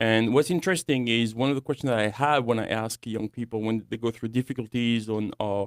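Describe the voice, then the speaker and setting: A man with a French accent speaks fairly quickly at a medium pitch with ordinary pitch variation, on a very clean recording with a silent background and a dry, close sound with no echo. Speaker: young adults ministry director. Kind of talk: radio talk show discussion. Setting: studio.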